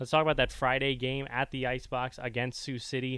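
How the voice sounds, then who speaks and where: This man's voice is an unremarkable speaking voice, medium in pitch and moving at a fairly quick pace. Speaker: radio sports host. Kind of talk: casual sports radio chat.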